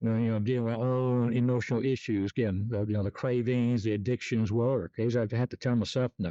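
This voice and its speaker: Over a quiet background, a man talks at a very fast pace with hardly any pauses, very even loudness, monotone, flat intonation and a dark, mellow tone, in a dry, close sound with no echo. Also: medium pitch for a man. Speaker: sleep technologist and self-help vlogger. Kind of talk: casual monologue vlog. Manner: hesitant, many fillers; mumbling at times.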